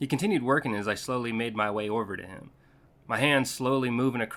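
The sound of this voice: An unforced reading voice. It carries the whole clip.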